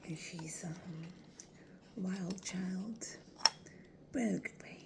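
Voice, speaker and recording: Speech at a very slow pace comes through noticeable background noise. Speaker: ASMR creator. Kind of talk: ASMR video. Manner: soft-spoken.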